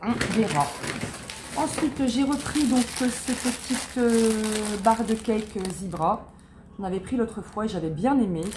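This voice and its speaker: Lively in intonation but fairly slow in pace, the speech has long, frequent pauses and noticeable background noise. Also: woman, fairly high pitch for a woman. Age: 40s. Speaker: lifestyle vlogger. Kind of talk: product haul, casual. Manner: hesitant, filler-heavy.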